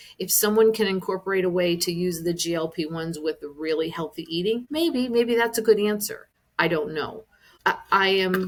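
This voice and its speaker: A woman speaks at a moderate pace with fairly low pitch and ordinary pitch variation. She has an ordinary speaking voice. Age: 60s. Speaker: wellness business owner. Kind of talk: podcast interview answer.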